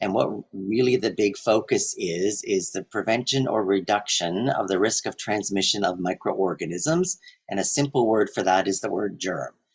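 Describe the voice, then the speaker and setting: A man with an ordinary speaking voice and a fairly low pitch talks at a moderate pace with ordinary pitch variation. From French Canadian background. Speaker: health and safety presenter. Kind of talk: webinar presentation. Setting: online webinar.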